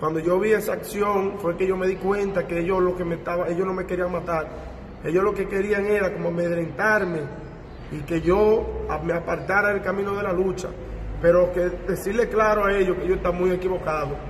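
Fairly quick speech from a man at a high pitch, monotone with flat intonation, over light background noise and audible room echo. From Dominican Republic. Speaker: community activist. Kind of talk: press conference testimony. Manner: halting, repeats words. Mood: serious, recounting an ordeal. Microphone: handheld.

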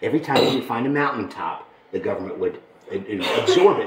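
Audible room echo surrounds a man's voice. Light background noise is also present. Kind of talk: guided tour storytelling. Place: hall. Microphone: camera far.

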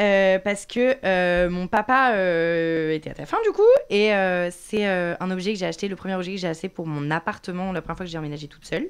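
Talking at a fairly quick pace, a woman leaves hardly any pauses. Her pitch varies in an ordinary way. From France. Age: 20s. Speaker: content creator. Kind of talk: interview. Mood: earnest, somewhat emotional. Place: studio. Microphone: studio mic.

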